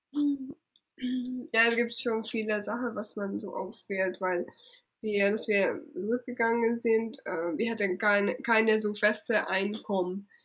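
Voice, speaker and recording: A woman speaks at a very slow pace, her fairly high voice moving with ordinary pitch variation. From Hungary. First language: Hungarian (speaking German). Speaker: travel blogger. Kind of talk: interview. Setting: at her parents' home.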